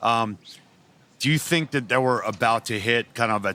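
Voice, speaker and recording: An ordinary speaking voice from a man at medium pitch. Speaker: podcast host. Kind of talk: interview question.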